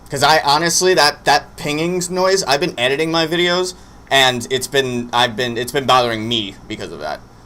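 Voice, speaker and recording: Against noticeable background noise, a man talks at a moderate pace in a fairly high pitch with ordinary pitch variation. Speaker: streamer doing wrestling watch-along. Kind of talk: live stream casual chat. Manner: loud.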